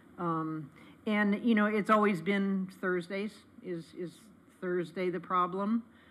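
Very slow speech from a woman over light background noise. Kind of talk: meeting discussion. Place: meeting room. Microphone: podium.

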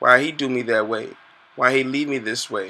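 At a moderate pace, a man talks in a bright, sharp tone with fairly even intonation. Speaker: poet. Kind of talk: spoken word poem. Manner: rhythmic, pleading, emotional delivery. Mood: hurt, plaintive. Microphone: webcam.

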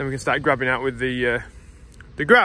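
A man's bright, sharp tone comes through dry, with no echo. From England. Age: 20s. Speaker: farmer and vlogger; vlogger. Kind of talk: casual vlog narration. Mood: cheerful, relaxed. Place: farm. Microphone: phone near.

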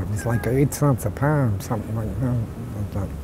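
A man speaks at a moderate pace with lively intonation. The sound is dry with no echo, and there is noticeable background noise. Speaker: former dory fisherman, WWII veteran. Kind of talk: interview answer. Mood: relaxed, reminiscing. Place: garden.

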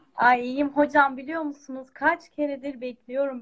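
A woman's high, monotone voice with flat intonation at a fairly slow pace, over a quiet background. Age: 20s. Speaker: music student, bağlama player; guest. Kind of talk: live stream call-in. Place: home room. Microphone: video call.

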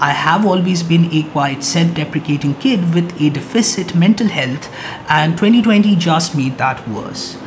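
Amid clear background noise, a man speaks with few pauses. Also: fairly high pitch for a man, ordinary pitch variation, moderate pace.

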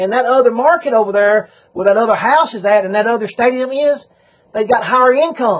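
A man with a Southern US accent and an extremely high pitch talks at a fairly quick pace against a quiet background. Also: ordinary pitch variation. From Southern United States. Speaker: auctioneer. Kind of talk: business advice talk to camera. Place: home room. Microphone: phone near.

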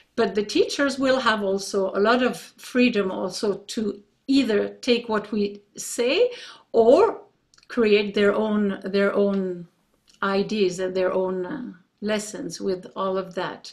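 Against a quiet background, a woman speaks at a very slow pace. Her pitch varies in an ordinary way. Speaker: pianist and music teacher; music teacher. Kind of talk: short presentation. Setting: video call. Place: home room. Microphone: video call.

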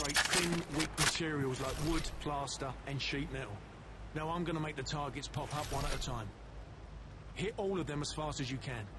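A man speaks in a British accent. There is noticeable background noise. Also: fairly high pitch for a man, ordinary pitch variation, moderate pace. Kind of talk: scripted game dialogue, training instructions. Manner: friendly, calm, instructional.

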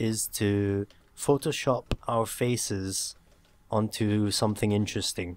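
On a very clean recording with a silent background, a man with a medium pitch speaks at a very slow pace. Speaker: podcast host. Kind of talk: casual chat. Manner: animated.

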